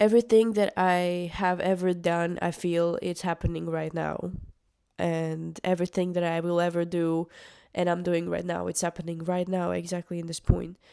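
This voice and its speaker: A woman speaks with a non-native accent in a fairly low pitch and a dark, mellow tone. Her intonation is monotone and flat, and the recording is very clean with a silent background. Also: moderate pace. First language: not English. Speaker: musician vlogger. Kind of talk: casual monologue vlog. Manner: halting, with many fillers.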